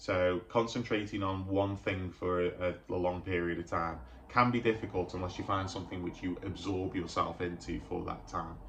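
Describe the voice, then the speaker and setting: At a moderate pace, a man with a very deep, low pitch keeps his intonation fairly even. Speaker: mental health youtuber. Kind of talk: vlog monologue. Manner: halting, repeats words.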